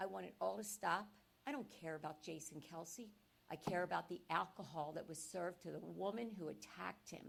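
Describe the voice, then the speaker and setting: A woman with an American accent talks at a fairly quick pace in a fairly low pitch. Her intonation is lively, and vocal fry runs through her voice. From Philadelphia area, Pennsylvania. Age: 60s. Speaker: public commenter. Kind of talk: public comment at a town meeting. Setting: municipal meeting room. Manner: animated.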